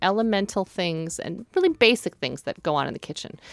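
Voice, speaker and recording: A woman's plain, everyday voice at medium pitch, lively in intonation and fairly quick, with dry, close sound free of echo and a very clean recording over a silent background. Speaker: cookbook co-author and podcast co-host. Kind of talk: casual chat. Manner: joking, light-hearted.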